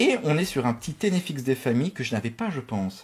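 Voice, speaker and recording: A man talks fairly quickly, his intonation lively. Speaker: YouTuber opening Pokémon card boosters. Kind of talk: casual pack-opening vlog. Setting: home office.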